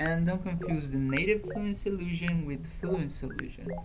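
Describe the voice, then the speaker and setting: A woman speaks with a Brazilian accent. Music plays in the background, and there is audible room echo. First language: Portuguese. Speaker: language learning youtuber. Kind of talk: opinion monologue.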